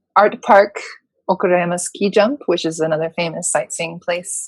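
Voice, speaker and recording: The speaker has a normal speaking voice and fairly even intonation. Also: woman. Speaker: voice-over announcer and singer-songwriter. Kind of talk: interview answer. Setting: home studio.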